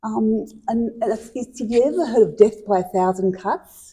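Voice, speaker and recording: A woman with an Australian accent speaks at a fairly slow pace, her voice fairly high and somewhat breathy. The tone is dark and mellow, with ordinary pitch variation. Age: 60s. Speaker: mental health presenter. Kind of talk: interview testimony.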